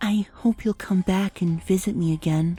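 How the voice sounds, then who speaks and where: A put-on character voice at a middle pitch speaks in a timid tone. The pace is moderate. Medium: read story. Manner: timid, soft.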